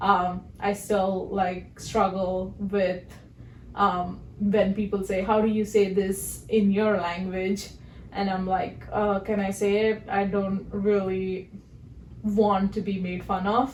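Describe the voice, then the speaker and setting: A woman speaks very slowly with a Telugu accent. Her voice sits at a medium pitch, and her intonation is flat and monotone. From southern India. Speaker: podcast co-host. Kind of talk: casual chat.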